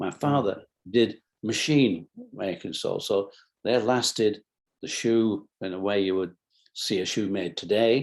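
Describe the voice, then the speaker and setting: This man speaks with a Lancashire accent at a fairly low pitch, using ordinary pitch variation. His pace is moderate and the background is quiet. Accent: northern English (Lancashire). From Bolton, England. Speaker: businessman, company founder. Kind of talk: interview answer.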